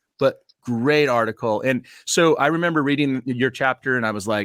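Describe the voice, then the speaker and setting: In a normal speaking voice with an American accent, the speaker goes at a moderate pace with ordinary pitch variation, the sound dry and close with no echo on a very clean recording with a silent background. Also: man. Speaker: podcast host. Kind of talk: interview.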